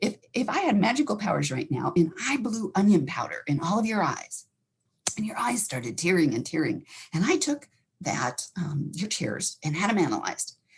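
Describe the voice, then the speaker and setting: A woman with an American accent talks at a moderate pace in an animated tone. Her pitch swings very widely, and vocal fry comes through. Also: medium pitch for a woman. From Montana. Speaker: counselor. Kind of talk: educational talk.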